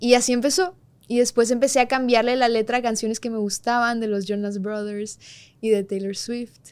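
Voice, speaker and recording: With fairly high pitch and fairly even intonation, a woman talks at a moderate pace. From Mexico, Monterrey (Colombian family). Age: 20s. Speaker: singer-songwriter. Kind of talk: interview chat.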